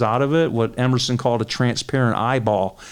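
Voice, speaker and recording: A man of medium pitch with a Detroit accent. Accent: Midwestern American (Detroit). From Detroit, Michigan. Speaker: crime reporter. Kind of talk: interview.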